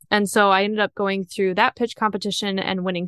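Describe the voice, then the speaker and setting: A woman with a slight Upper Midwest accent talks at a moderate pace and medium pitch in a bright, sharp tone, the sound dry and close with no echo against a quiet background. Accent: slight Minnesotan-Canadian-like Upper Midwest. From northern Wisconsin. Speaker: small business founder and inventor. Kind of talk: interview.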